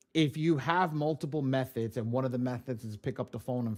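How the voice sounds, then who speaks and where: With a New York accent, a man speaks at a medium pitch with ordinary pitch variation on a very clean recording with a silent background. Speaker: credit repair software trainer. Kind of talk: live tutorial. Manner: fast; casual.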